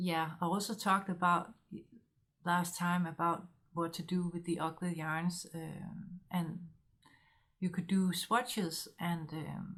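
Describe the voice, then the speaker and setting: At a very slow pace, a woman with a Danish accent speaks in a fairly low pitch. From Denmark. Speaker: knitting podcaster. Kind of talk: casual monologue vlog. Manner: halting with many fillers.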